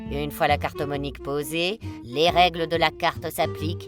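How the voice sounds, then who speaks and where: Music plays in the background as a woman speaks at a fairly slow pace in a playful tone, her pitch swinging very widely. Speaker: voice-over artist. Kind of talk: quirky game-rules voice-over. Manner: playful, humorous.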